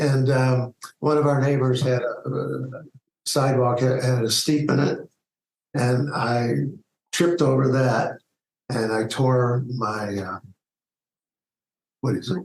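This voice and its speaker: A man with a medium-pitched, somewhat breathy voice speaks at a very slow pace. He leaves long, frequent pauses. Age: 60s. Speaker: retired media executive. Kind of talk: interview. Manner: halting.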